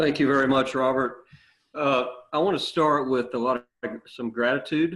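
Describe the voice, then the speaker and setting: A man in a strong Louisiana accent delivers his words with fairly even intonation. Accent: Southern US (Louisiana), strong. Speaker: business executive. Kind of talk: online interview conversation.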